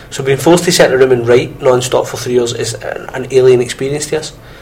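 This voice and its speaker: Over noticeable background noise, a man with a fairly high pitch talks at a very fast pace with fairly even intonation. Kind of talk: casual banter between co-hosts on a student radio show. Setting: radio studio. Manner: chatty, witty, quick-talking banter.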